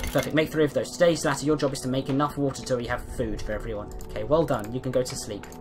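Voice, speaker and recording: Someone talks at a very fast pace with a British accent. The intonation stays fairly even, and music plays in the background. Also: man, medium pitch for a man. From Britain. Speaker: gamer. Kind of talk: casual gameplay commentary.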